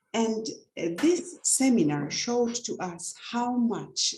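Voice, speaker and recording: A woman with a non-native accent speaking very slowly with lively intonation, music in the background. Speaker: leader of religious sisters, nun. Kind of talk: panel discussion answer. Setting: online webinar.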